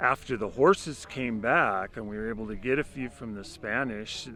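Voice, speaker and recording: A man with an American accent and a plain, everyday voice, medium in pitch, at a moderate pace. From Lakota (northern Great Plains, US). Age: 60s. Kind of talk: oral history interview.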